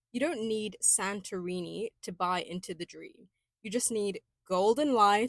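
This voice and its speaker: An ordinary speaking voice from a woman, fairly high in pitch with ordinary pitch variation, at a moderate pace, in a dry, close sound with no echo. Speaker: podcast host. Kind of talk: pop culture podcast monologue. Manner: upbeat, playful.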